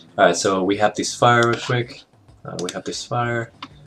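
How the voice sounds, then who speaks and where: A non-native accent at a fairly slow pace. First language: not English. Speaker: animation tutorial maker. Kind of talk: tutorial. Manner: casual, hesitant with fillers.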